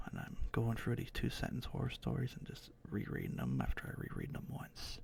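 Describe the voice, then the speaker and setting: A man whispering at a moderate pace. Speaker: ASMR streamer. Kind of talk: casual live-stream chat. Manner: halting, stuttering; soft-spoken.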